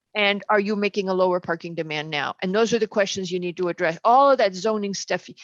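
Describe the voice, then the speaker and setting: A woman's medium-pitched voice, fairly quick, with ordinary pitch variation and a dry, close sound without echo. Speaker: planning commission member. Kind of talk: public meeting discussion. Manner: fast.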